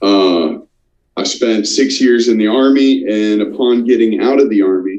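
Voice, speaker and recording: Audible room echo surrounds a man speaking at a medium pitch with an American accent. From Florida, US. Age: 30s. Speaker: army veteran. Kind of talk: personal testimony in interview.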